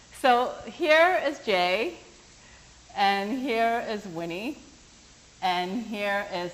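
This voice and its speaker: Speaking at a very slow pace with long, frequent pauses, a woman with a medium pitch makes very wide pitch swings. Audible room echo is present. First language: not English. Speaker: workshop teacher. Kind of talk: workshop talk. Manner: animated.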